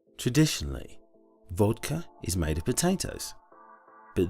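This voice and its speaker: A man at a fairly low pitch, very wide pitch swings and a moderate pace, with music in the background. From British. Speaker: voice actor. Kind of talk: TV commercial read.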